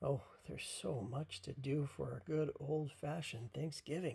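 A put-on character voice, dark and mellow in tone with a husky, rough edge and vocal fry, fairly slow, with ordinary pitch variation

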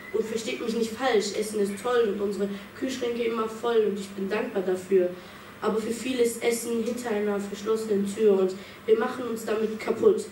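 The woman's fairly even intonation and moderate pace come through noticeable background noise. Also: fairly high pitch for a woman. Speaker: slam poet. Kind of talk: spoken word poetry slam performance, rhymed and rhythmic, with a refrain. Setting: stage with audience. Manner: measured, building to a pointed refrain; earnest, reflective, with dramatic pauses.

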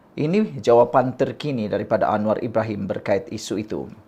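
Against a quiet background, a man with medium pitch and ordinary pitch variation has an unremarkable speaking voice. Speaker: political commentary YouTuber. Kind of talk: political commentary monologue.

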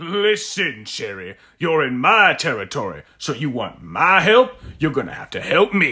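Putting on a gruff character voice, a man speaks high-pitched at a moderate pace with very wide pitch swings. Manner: gruff, bargaining.

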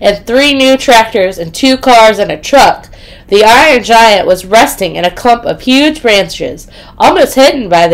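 The reading is done in an unforced voice.

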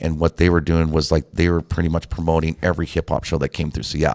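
A man's very deep, low voice in a monotone, flat intonation over a quiet background. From Montana, US. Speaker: DJ; guest. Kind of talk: casual chat. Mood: relaxed, reflective. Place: studio. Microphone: studio mic.

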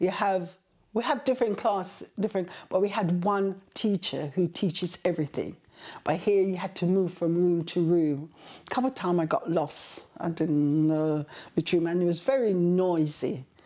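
A woman speaks at a moderate pace in a fairly low, dark, mellow voice with ordinary pitch variation. Her loudness stays very even over a quiet background. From Kingston, Jamaica. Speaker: interviewee recalling childhood. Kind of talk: oral history interview answer. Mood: warm, reflective storytelling. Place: home room.

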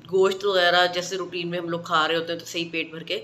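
A woman's fairly low voice over light background noise. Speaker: beauty vlogger. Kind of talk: casual skincare tips vlog. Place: home room. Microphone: phone near.

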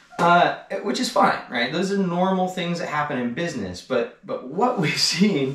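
Light background noise and audible room echo accompany a man's lively intonation. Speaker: e-bike shop owner and industry commentator. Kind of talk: angry rant about the e-bike industry, delivered as a solo video monologue. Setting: garage, solo video. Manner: fired up and indignant, pushing each point hard; sarcastic and pointed, cutting in with laughs. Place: garage.

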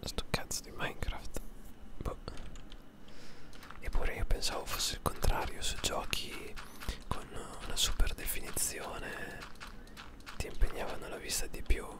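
The voice is whispering at a fairly slow pace. Long, frequent pauses break up the speech. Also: man. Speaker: ASMR gaming streamer. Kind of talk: gameplay commentary; casual gaming commentary. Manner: whispered. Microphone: studio mic.

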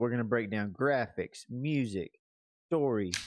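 Speaking fairly slowly at a medium pitch with ordinary pitch variation, a man is recorded dry with no echo against a quiet background. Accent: Alabama. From Alabama. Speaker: gaming podcast co-host. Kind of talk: casual chat. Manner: laughs often. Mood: playful, jokey hype. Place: home room. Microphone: studio mic.

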